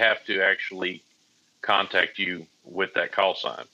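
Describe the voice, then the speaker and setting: A man with a Southern US accent at a moderate pace. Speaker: private pilot. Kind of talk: casual chat.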